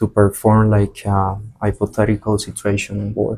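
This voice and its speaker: A man with a Spanish accent speaks at a fairly low pitch in a dark, mellow tone. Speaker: flight attendant. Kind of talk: interview. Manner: halting, many fillers and repetitions.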